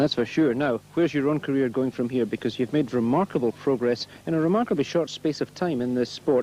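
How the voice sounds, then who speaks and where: A fairly quick, dark and mellow delivery in a Glaswegian accent, with ordinary pitch variation and hardly any pauses. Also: man, medium pitch for a man. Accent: Glaswegian Scottish. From Glasgow, Scotland. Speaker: speedway interviewer. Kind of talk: trackside sports interview. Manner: jokey, teasing.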